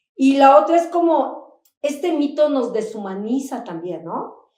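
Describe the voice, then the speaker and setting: The voice has a dark, mellow tone and ordinary pitch variation, moving at a fairly slow pace with audible room echo. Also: woman. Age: 60s. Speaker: HIV activist. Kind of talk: panel discussion. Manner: animated.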